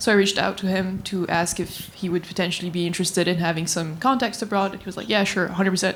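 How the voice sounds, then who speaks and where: A woman speaks with a French accent. She goes very fast, with hardly any pauses. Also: medium pitch for a woman, fairly even intonation. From France. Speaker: graduate student. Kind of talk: panel discussion.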